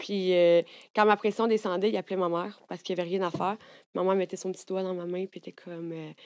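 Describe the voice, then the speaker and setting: Against a quiet background, a woman with a Quebec accent talks at a very fast pace in a monotone, flat intonation. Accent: Québécois French. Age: 30s. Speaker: content creator. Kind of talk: casual chat. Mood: candid, emotional personal stories. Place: studio. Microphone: studio mic.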